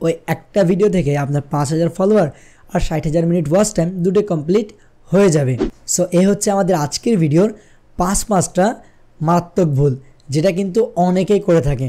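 Against a quiet background, a man with a high pitch and a dark, mellow tone keeps very even loudness and ordinary pitch variation. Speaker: tech YouTuber. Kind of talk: tutorial. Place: studio. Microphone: studio mic.

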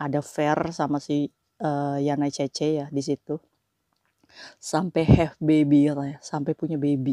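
A woman's very deep, low voice, dark and mellow in tone, monotone with flat intonation, dry with no echo against a quiet background. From Indonesia. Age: 40s. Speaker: migrant domestic worker vlogger. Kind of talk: casual vlog monologue. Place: home room. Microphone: lapel.

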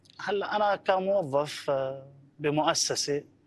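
A man speaks with a fairly high pitch and ordinary pitch variation. The sound is dry, with no echo. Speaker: volunteer; TV guest. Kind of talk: interview. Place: studio. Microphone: lapel.

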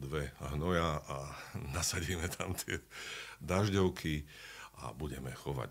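A man's very deep, low voice with vocal fry, at a moderate pace. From Slovakia. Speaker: actor and dubbing voice actor. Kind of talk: interview answer. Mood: animated storytelling anecdote. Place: studio. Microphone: studio mic.

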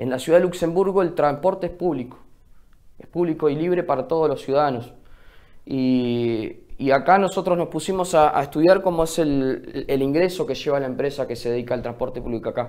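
A man speaks at a fairly quick pace with a fairly high pitch and ordinary pitch variation. The background is quiet. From Río Negro, Argentina. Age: 20s. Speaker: local mayoral candidate; candidate. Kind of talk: TV news interview. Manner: halting, many fillers. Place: studio.

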